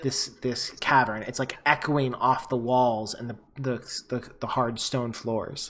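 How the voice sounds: Here the reading voice sounds natural.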